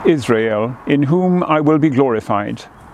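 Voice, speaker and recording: Quiet and solemn, a man speaks at a fairly slow pace in a fairly high voice. The sound is dry with no echo, over light background noise. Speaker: cathedral dean leading prayers. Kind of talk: fervent prayer, intoning liturgy and blessing. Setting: outdoors in a garden. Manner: solemn, slow, reverent, hushed, measured cadence; formal. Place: garden.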